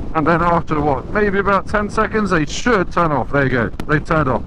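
A man with a high pitch for a man uses ordinary pitch variation. The sound is dry with no echo but has noticeable background noise. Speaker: motorbike reviewer. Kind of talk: commentary. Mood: light, joking. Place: motorbike. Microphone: helmet.

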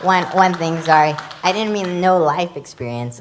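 Audible room echo colors this recording. A woman speaks in it at a fairly quick pace. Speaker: city council candidate. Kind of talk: candidate forum debate. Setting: church stage with audience.

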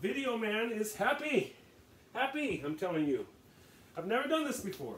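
Noticeable background noise beneath a moderate pace and very wide pitch swings. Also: man, extremely high pitch for a man. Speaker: home cooking video maker. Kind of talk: casual tutorial. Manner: rambling, casual.

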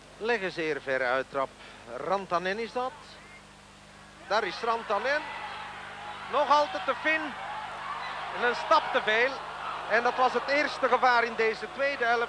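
A man's raised, projected voice comes through with long, frequent pauses, a dry sound with no echo, and noticeable background noise. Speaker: sports commentator. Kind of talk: commentary. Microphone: old recording.

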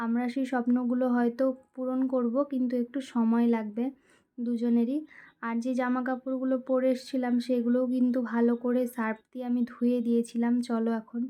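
Her voice high in pitch with a dark, mellow tone, a woman speaks with monotone, flat intonation. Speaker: vlogger. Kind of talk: vlog voice-over narration. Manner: lying down while speaking.

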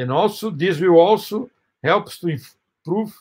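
Over a quiet background, a man with a Portuguese accent speaks with ordinary pitch variation. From Brazil. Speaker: professor. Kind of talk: lecture. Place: home room. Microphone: webcam.

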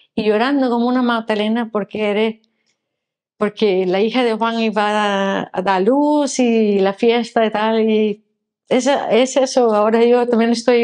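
Against a quiet background, a woman talks at a fairly slow pace in a fairly high pitch with fairly even intonation. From Denmark, Copenhagen. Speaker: former tour guide, foreign resident; former tour guide. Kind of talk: testimony. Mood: warm, moved, smiling. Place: office. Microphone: lapel.

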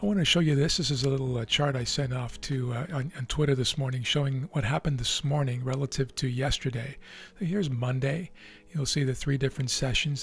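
A somewhat breathy male voice in a dry sound with no echo. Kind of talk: commentary. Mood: relaxed.

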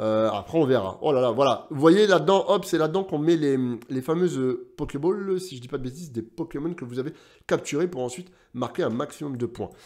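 Against a quiet background, a man with a fairly high pitch speaks at a fairly quick pace, his tone animated and his intonation lively. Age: 30s. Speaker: gaming YouTuber. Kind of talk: casual video commentary. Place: home room.

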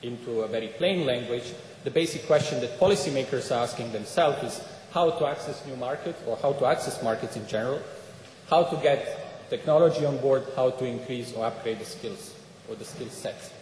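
At a fairly quick pace, a man talks with ordinary pitch variation, with light background noise and audible room echo. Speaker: speaker. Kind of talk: conference talk. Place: hall. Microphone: podium.

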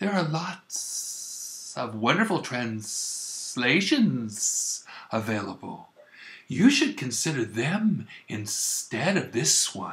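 In a hissing put-on character voice of medium pitch, a man talks at a very slow pace.

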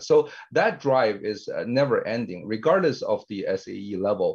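Set against a quiet background, a man speaks at a fairly slow pace. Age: 50s. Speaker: tech company CEO and co-founder. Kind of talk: interview. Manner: frequent filler hesitations. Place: home room. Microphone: webcam.

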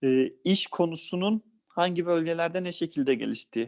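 This man's voice sits high in pitch, with a dry, close sound and no echo. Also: quiet background. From Balıkesir, Turkey. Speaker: lawyer. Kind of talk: interview.

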